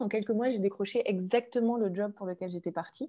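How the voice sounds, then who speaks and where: At a moderate pace, a voice with a dark, mellow tone comes through against a quiet background. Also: woman. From France. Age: 30s. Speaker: author and former commodities trader. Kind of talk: webinar talk. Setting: online webinar. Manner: hesitant, many fillers.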